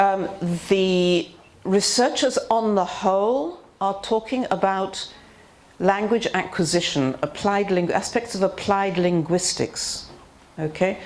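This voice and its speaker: A woman's voice with a British accent, medium in pitch with ordinary variation, very slow, in audible room echo. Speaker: teacher trainer. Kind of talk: seminar lecture.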